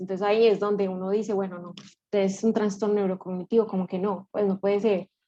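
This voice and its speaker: At a fairly quick pace, a woman speaks with a dark, mellow tone in a medium pitch. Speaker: neuropsychologist presenting a clinical case. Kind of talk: case presentation to a study group. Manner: fast; stumbles over words.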